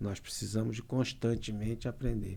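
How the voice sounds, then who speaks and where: A man speaks at a moderate pace in a dark, mellow tone at medium pitch with monotone, flat intonation. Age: 60s. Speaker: lawyer. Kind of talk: casual chat.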